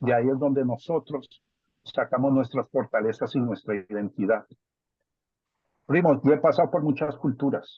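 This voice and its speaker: With a Bogotá accent, a man speaks at a moderate pace and medium pitch with ordinary pitch variation and long, frequent pauses. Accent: Bogotá (rolo) accent, kept. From Colombia, Bogotá. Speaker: family member giving a talk. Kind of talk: family video call discussion.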